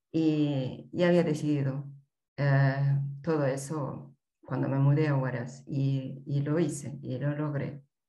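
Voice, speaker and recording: A woman with a very deep, low pitch speaks very slowly in a monotone, flat intonation, with audible room echo. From Peru, Andean highlands. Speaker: mountaineer and mountain guide. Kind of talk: interview.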